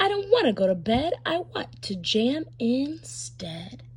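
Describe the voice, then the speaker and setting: A woman puts on a character voice and speaks at a fairly slow pace. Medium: read story.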